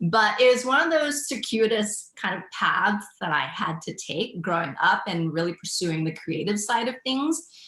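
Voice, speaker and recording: A woman with fairly high pitch speaks at a moderate pace, with hardly any pauses. Her pitch swings very widely over noticeable background noise. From Thailand. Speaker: entrepreneur. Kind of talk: interview.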